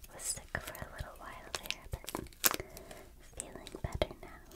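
Whispering and soft-spoken, the voice goes at a fairly slow pace. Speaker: card opening host. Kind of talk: soft casual commentary. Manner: soft whisper, recovering from a cold.

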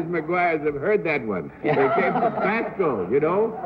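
Lively intonation carries a fairly quick delivery over loud background noise. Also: man. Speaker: game show guest being questioned about his unusual occupation. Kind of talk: casual conversational answers on a TV game show. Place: studio.

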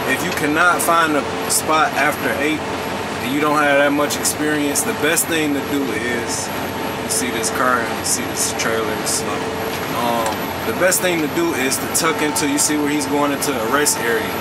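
Speech comes at a moderate pace with loud background noise behind it. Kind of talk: casual vlog chat. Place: car. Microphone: phone near.

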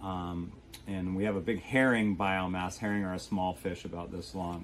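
A man's very deep, low voice at a moderate pace, fairly even in intonation, over light background noise. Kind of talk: interview answer. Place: boat. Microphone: camera far.

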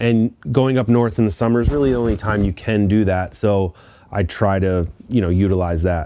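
A man talks at a moderate pace with a fairly low pitch and a dark, mellow tone. His pitch varies in an ordinary way, and the sound is dry with no echo. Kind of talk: casual vlog chat. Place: garage.

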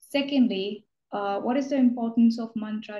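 A somewhat breathy, dark, mellow voice with fairly even intonation at a moderate pace, with audible room echo. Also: woman. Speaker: student interviewer. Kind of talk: interview question. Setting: video call. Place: home room. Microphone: video call.

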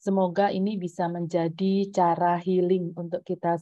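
Against a quiet background, a woman talks in a fairly low pitch with flat, monotone intonation. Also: dry sound with no echo. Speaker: school principal. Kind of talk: welcome speech. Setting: video call. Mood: warm, polite. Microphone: earbuds.

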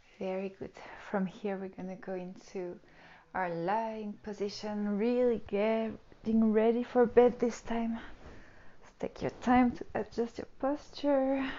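A woman speaks at a fairly slow pace with ordinary pitch variation and big swings in loudness. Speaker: yoga teacher. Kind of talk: tutorial. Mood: calm, soothing guidance. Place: home room. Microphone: lapel.

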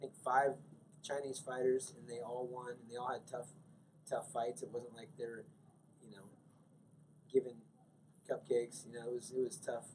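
Over light background noise, a man speaks at a moderate pace in a somewhat breathy voice, with ordinary pitch variation, big swings in loudness, and long, frequent pauses. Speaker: MMA coach. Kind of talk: interview. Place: hall. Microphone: handheld.

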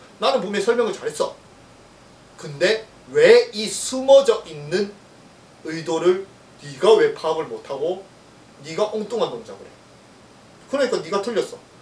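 Speaking at a fairly slow pace with long, frequent pauses, a man is heard with audible room echo. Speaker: golf swing researcher and YouTuber. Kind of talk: casual monologue about golf lessons. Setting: solo video recording. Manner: talkative, informal, animated with laughs. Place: gym. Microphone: camera far.

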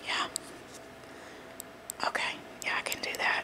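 The whispering moves along at a fairly slow pace. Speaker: ASMR role-play beautician. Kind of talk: ASMR role play. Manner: whispered. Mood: reassuring, slightly apologetic. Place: home room. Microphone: phone near. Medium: role play.

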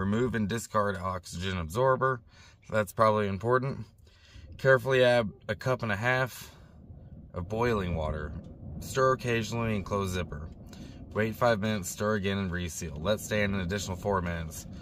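At a fairly quick pace, a man speaks at a fairly low pitch with ordinary pitch variation, the sound dry with no echo and light background noise behind him. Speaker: van-dwelling vlogger. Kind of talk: casual vlog chat. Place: car. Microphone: phone near.

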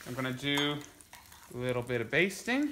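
A man speaks at a fairly slow pace with lively intonation and a bright, sharp tone. Room echo is audible.

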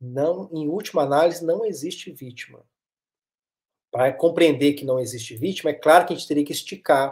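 With a Minas Gerais accent, a man talks at a fairly quick pace, his pitch varying in an ordinary way and his loudness swinging widely. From Minas Gerais, Brazil (Varginha). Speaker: psychoanalyst and therapist. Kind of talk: interview conversation. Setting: live stream.

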